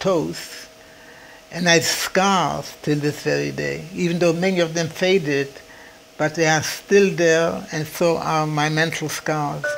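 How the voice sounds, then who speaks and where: A man's fairly high-pitched voice at a fairly slow pace, with fairly even intonation and noticeable background noise. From Poland. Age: 80s+. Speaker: Holocaust survivor. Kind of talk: testimony.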